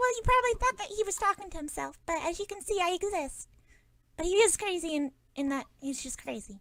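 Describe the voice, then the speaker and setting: A woman puts on a squeaky character voice at an extremely high pitch, moving at a fairly quick pace. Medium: actual play. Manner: cute.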